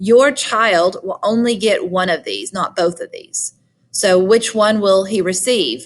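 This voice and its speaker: This is a woman with a medium-pitched voice. She talks at a fairly slow pace. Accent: Southern US. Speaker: high school biology teacher. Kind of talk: recorded lecture. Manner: conversational.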